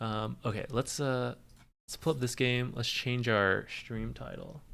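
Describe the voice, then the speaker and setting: A man speaks loudly at a fairly slow pace, with a bright, sharp tone at medium pitch. The recording is very clean with a silent background, and his intonation is fairly even. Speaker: streamer watching esports. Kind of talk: live commentary. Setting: home stream. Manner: quieter than usual; loud by nature.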